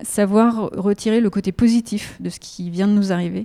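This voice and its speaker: A woman speaks at a fairly slow pace in a dark, mellow tone with fairly even intonation. The recording is very clean, and the background is silent. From France, Haute-Savoie. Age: 50s. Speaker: patient, former engineer retraining as pastry chef. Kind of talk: interview testimony. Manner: halting, with frequent repetitions.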